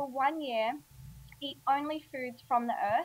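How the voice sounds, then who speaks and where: A high-pitched woman with an Australian accent, moderate pace and fairly even intonation. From Australia, Alice Springs. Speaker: healthy eating author and blogger. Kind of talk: casual interview chat.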